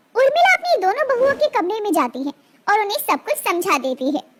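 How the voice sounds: A woman with an extremely high, fairly bright voice, lively intonation and a fairly quick pace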